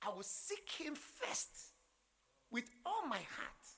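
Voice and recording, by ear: A man talks at a slow pace in an extremely high pitch, his bright, sharp tone marked by big pitch swings. A slightly husky edge and vocal fry run through his voice.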